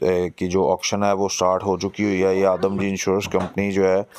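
Low-pitched and slightly mellow in tone, a man speaks with monotone, flat intonation.

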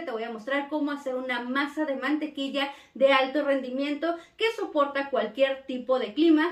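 Audible room echo surrounds a woman speaking at a high pitch. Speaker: cookie decorating teacher. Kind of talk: casual vlog chat promoting a course. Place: home room.

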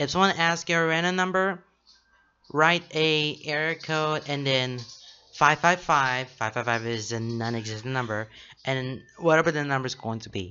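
The man talks at a fairly slow pace. His pitch varies in an ordinary way. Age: 20s. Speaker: YouTuber reacting to stories. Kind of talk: reaction video reading stories aloud. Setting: home recording with shelf behind. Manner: halting. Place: home room. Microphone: studio mic.

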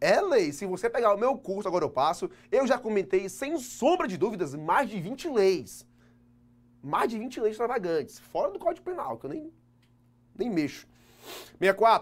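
Pausing long and often, a man with a high voice moves through very wide pitch swings at a moderate pace. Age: 20s. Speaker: law teacher for civil service exams; teacher. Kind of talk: online video lecture; lecture. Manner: casual, lively, frequent 'tá?' tags. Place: classroom.

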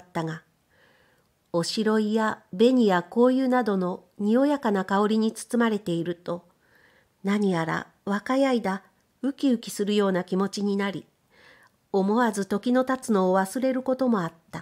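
In a plain, everyday voice, a woman speaks at a medium pitch and a moderate pace with ordinary pitch variation, on a very clean recording with a silent background. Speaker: audiobook reader of period fiction. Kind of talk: literary audiobook reading, scripted narration. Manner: measured, calm narrator pacing; shifts tone to voice the sisters' dialogue, lively or wistful.

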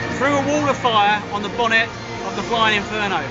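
Loud music plays in the background while a man speaks. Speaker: radio presenter. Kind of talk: on-location radio stunt interview. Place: stadium. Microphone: phone near.

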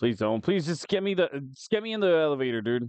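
A man talks at a moderate pace. His pitch makes very wide swings. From US, Mexican-American family. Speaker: gaming YouTuber and streamer. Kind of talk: gameplay commentary. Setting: live stream with chat. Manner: animated; casual, filler-heavy.

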